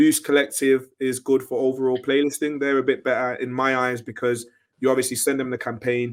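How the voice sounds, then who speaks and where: A man at medium pitch, talking at a fairly quick pace. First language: French. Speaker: independent music artist. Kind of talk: interview.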